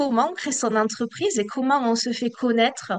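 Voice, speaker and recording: The background is quiet. A woman speaks at a fairly high pitch with fairly even intonation. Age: 40s. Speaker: civil servant manager and coaching student. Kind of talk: testimonial interview.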